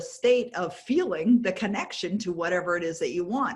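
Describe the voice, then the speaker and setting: Noticeable background noise sits behind a woman talking at a moderate pace. Her pitch is medium and her intonation lively. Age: 60s. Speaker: author and success coach. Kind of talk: interview.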